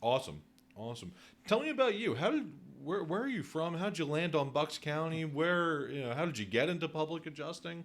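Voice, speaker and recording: A man's fairly high, plain, everyday voice with an American accent, fairly quick pace and lively intonation. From Northeast Philadelphia. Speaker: podcast host, real estate agent. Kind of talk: podcast interview.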